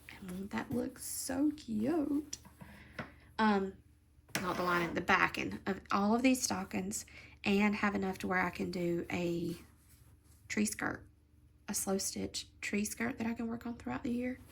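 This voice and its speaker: Somewhat breathy, a woman talks at a fairly slow pace with lively intonation and long, frequent pauses. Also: medium pitch for a woman. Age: 40s. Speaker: crafting channel host. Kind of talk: casual stitch-along chat.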